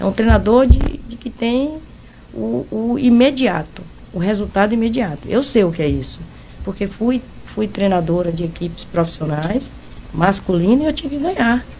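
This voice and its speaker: Against noticeable background noise, a woman with a medium-pitched voice talks at a moderate pace with very wide pitch swings. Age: 60s. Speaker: football coach. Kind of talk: interview.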